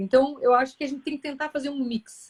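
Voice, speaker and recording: The woman's voice sits at a high pitch. The sound is dry and close, with no echo. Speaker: gastroenterologist, live host. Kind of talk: casual chat. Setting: Instagram live. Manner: fast.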